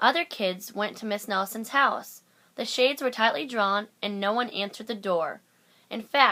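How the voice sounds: Someone reads here. The delivery is a natural reading voice.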